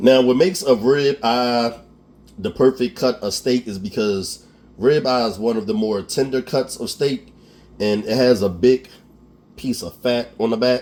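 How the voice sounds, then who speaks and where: A man with an American accent at a fairly slow pace, medium pitch, ordinary pitch variation and an animated tone. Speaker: cooking show host. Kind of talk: cooking tutorial. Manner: animated, casual.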